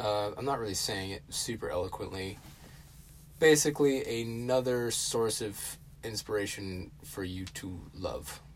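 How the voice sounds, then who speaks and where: The voice is somewhat breathy, moving at a fairly slow pace with ordinary pitch variation. Room echo is audible. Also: man, medium pitch for a man. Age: 20s. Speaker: podcast host. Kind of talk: casual solo talk. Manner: hesitant, many fillers.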